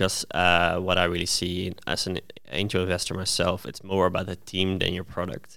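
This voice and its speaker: Very deep and low, a man's voice holds a monotone, flat intonation at a moderate pace. The recording is very clean, with a silent background. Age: 20s. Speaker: startup founder and angel investor. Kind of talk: interview. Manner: halting.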